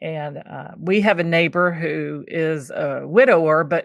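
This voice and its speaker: Against a quiet background, a woman talks in a very deep, low pitch with vocal fry. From Kentucky, US South. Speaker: podcast host, cookbook writing coach. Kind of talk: interview conversation. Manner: casual, frequent fillers.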